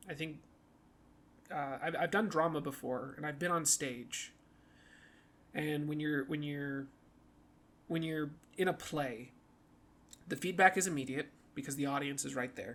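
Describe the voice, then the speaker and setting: With long, frequent pauses, a man speaks at a moderate pace in a fairly high pitch and fairly even intonation. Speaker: podcast host. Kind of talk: casual monologue. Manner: halting.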